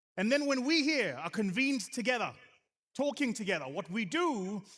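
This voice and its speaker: Speaking with a South African accent at a high pitch, a man sounds animated, with very wide pitch swings at a moderate pace on a very clean recording with a silent background. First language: isiZulu. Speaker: venture capital investor, conference speaker. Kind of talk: conference keynote speech.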